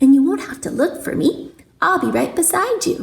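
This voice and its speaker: A woman does a put-on character voice, squeaky and high in pitch. She keeps a moderate pace. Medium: read story. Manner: chirpy.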